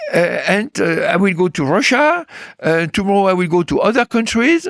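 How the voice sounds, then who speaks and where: Against a quiet background, a man with a French accent talks at a moderate pace with very wide pitch swings, the sound dry and close with no echo. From France. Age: 80s+. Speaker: political analyst and author. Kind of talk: interview. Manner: halting, many fillers and repetitions.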